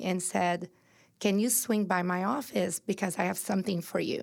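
Spoken with a Brazilian accent and fairly even intonation, the clip is a very clean recording with a silent background. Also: woman. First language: Portuguese. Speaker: entrepreneur and inspirational speaker. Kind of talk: personal testimony in interview. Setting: studio.

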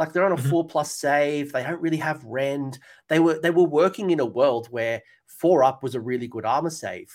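A man speaks at a fairly quick pace with a fairly high pitch and ordinary pitch variation. The recording is very clean, with a silent background. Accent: Australian. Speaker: tabletop wargaming channel host. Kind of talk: casual chat. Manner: animated.

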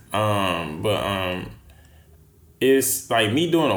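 A fairly low male voice in an American accent, with audible room echo. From Texas. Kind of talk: casual chat.

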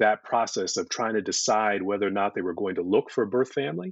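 A man talks at a fairly quick pace with ordinary pitch variation, in an ordinary speaking voice. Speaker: podcast guest, foundation co-founder.

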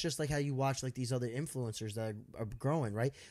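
An ordinary speaking voice from a man, pitched fairly high, with ordinary pitch variation on a very clean recording and a silent background. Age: 30s. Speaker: social media content creator. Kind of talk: casual chat.

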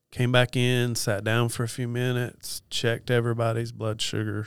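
A man at medium pitch and moderate pace, with an Appalachian accent, on a very clean recording with a silent background. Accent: Appalachian Southern US. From Western North Carolina. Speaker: nurse and diabetes educator. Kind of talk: interview.

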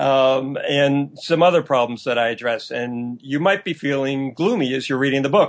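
A man talks in a normal speaking voice at a moderate pace. His pitch varies in an ordinary way, and he hardly pauses. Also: fairly high pitch for a man. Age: 60s. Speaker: historian and author. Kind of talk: interview.

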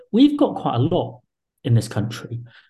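A man's fairly high voice comes through as music plays in the background. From England. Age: 40s. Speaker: think tank director and author. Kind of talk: interview.

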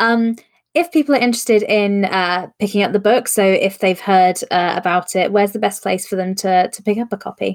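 A woman talks at a fairly quick pace in a normal speaking voice, medium in pitch with ordinary pitch variation. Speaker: podcast host. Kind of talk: casual live-streamed interview chat. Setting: live stream.

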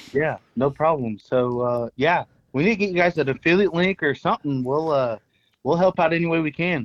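A man with an American accent and an ordinary speaking voice, fairly high in pitch, with ordinary pitch variation, very even loudness and a fairly quick pace, in a dry, close recording with no echo. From Texas. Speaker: spice company owner. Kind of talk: casual chat. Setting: phone call.

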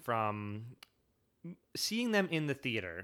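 A man with a Michigan accent speaks at a moderate pace in a medium pitch, his voice making very wide pitch swings. The recording is very clean, with a silent background. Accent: US Midwest (Michigan). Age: 30s. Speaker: podcast host. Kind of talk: solo podcast monologue. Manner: animated, with frequent fillers and restarts.

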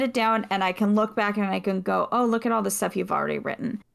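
Here is a normal speaking voice with fairly even intonation. The recording is very clean, with a silent background. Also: woman. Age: 30s. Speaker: podcast voice actor and writer. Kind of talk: casual chat.

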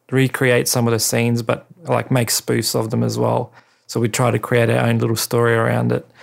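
This is a man with an Australian accent. His pitch sits at a medium level. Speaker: podcast host and cinematographer. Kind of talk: casual monologue. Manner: hesitant, many fillers.

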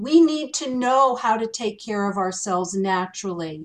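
The woman talks fairly slowly. Her voice rises and falls in very wide swings. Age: 60s. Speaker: skincare expert. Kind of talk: panel discussion. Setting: video call.

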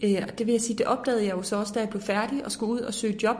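This is a woman speaking with a fairly high pitch. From Denmark, Horsens (East Jutland). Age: 20s. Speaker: politician. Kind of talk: interview. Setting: parliament building office.

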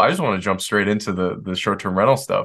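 A man speaks with an American accent in a bright, sharp tone. The background is quiet. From Detroit, US Midwest. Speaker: real estate developer. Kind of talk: interview.

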